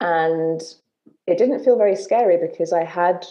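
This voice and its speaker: A woman's fairly low voice with a dark, mellow tone and a London accent, at a fairly slow pace with ordinary pitch variation. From southern England, London. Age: 30s. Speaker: menstrual cycle coach and author. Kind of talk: casual interview chat.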